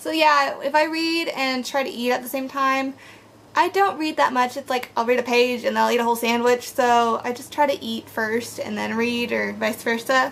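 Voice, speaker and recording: Through noticeable background noise, a woman speaks at a high pitch. Her pitch varies in an ordinary way. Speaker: book vlogger. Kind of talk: casual vlog monologue. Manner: fast; animated.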